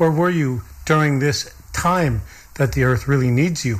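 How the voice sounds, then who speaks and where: A man speaks at a moderate pace in a fairly high, somewhat breathy voice with ordinary pitch variation. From Lakota. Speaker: radio host. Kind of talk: interview.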